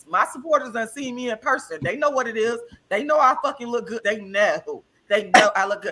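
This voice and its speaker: A loud woman speaks at a fairly quick pace with a high pitch. Her tone is animated and her intonation lively. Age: 40s. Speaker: vegan health guest. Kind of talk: casual chat.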